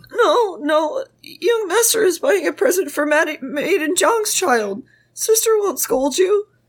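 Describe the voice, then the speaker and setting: A woman uses a cartoonish character voice with an extremely high pitch. She talks at a fairly slow pace. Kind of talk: comic cartoon-style voice. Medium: read story. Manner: earnest, deferential.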